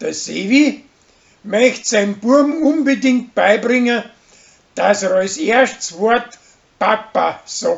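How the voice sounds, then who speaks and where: Speaking with a Bavarian accent, a man with an extremely high pitch talks at a very slow pace, leaving long, frequent pauses and using ordinary pitch variation. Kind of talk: weekly TV series episode summary.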